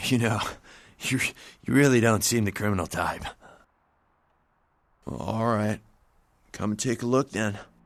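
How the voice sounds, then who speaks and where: In a put-on character voice, a man speaks raspily at a medium pitch and a moderate pace. Long pauses come often, and the background is quiet. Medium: video game. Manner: casual, hesitant.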